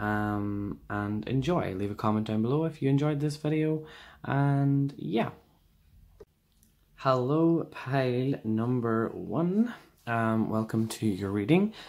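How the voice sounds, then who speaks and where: A man with an Irish accent speaks very slowly at a medium pitch with lively intonation. The recording is very clean with a silent background. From Ireland. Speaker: tarot reader. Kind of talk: tarot reading video. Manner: casual, many fillers.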